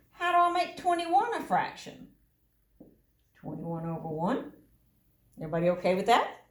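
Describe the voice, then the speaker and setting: Very wide pitch swings and big swings in loudness at a fairly quick pace, with long, frequent pauses and audible room echo. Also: woman, high pitch for a woman. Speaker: math teacher. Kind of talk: recorded lesson for students.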